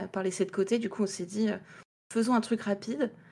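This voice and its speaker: With a medium pitch and flat, monotone intonation, a woman speaks. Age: 20s. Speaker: indie game developer. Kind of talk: interview.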